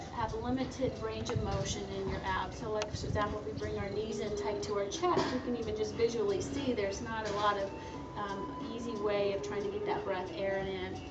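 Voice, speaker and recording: Loud background noise runs under the recording. A woman talks at a moderate pace. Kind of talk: tutorial. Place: garden.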